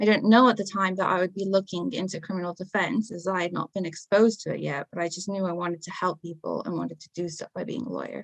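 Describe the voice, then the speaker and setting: With a non-native accent, a woman speaks very fast at medium pitch with ordinary pitch variation, vocal fry, big swings in loudness and hardly any pauses. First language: not English. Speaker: paralegal in criminal defence. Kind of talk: podcast interview, personal testimony.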